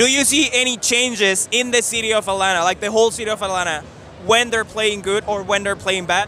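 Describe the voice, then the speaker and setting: A man with a Spanish accent speaks at a fairly quick pace in a raised, projected voice. His pitch is high and his intonation fairly even. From Mexico. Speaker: sports channel interviewer. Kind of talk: street interview. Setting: outdoors at a ballpark.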